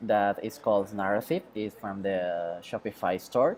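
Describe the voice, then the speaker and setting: A man with a Mexican accent. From Mexico. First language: Spanish. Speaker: web developer. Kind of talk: tutorial. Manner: halting, many fillers.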